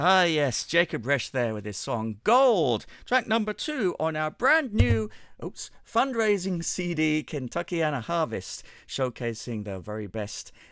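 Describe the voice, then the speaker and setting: A man with an English accent talks at a moderate pace, his pitch swinging very widely. The recording is very clean, with a silent background. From England. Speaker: radio show host. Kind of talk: radio presenting. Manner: casual, chatty.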